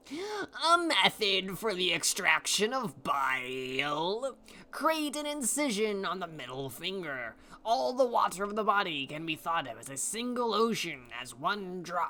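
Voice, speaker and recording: Speaking in a put-on character voice, this raised, projected delivery moves at a fairly slow pace with very wide pitch swings. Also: man, high pitch for a man. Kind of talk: solemn, grand.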